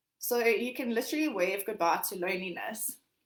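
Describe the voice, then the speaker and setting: Speaking at a fairly quick pace, a woman has a fairly high pitch. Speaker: life coach. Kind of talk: workshop talk. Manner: fast.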